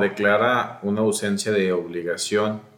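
A man's fairly low voice with fairly even intonation, a normal speaking voice. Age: 30s. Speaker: lawyer. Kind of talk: interview.

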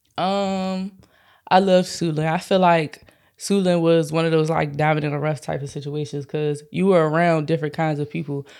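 Very deep, low pitch from a woman with an American accent, fairly even intonation and a moderate pace. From Prince George's County, Maryland. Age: 20s. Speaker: singer. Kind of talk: casual chat, podcast interview.

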